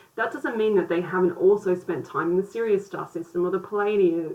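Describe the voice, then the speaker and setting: A woman talks at a fairly quick pace with fairly even intonation over noticeable background noise. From Australia. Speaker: spiritual teacher. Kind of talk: video lesson. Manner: casual, hesitant with fillers.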